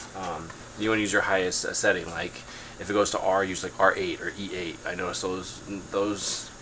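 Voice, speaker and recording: A man speaks at a fairly quick pace in a very deep, low voice. His intonation stays monotone and flat over noticeable background noise. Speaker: drone hobbyist. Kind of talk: tutorial. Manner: casual, many fillers.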